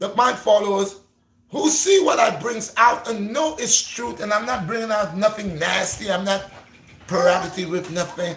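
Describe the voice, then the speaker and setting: This man speaks at a moderate pace with a Gambian accent. His voice is high-pitched and animated, with lively intonation. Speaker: YouTuber, fitness and faith vlogger. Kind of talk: livestream chat. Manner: repetitive, stammering.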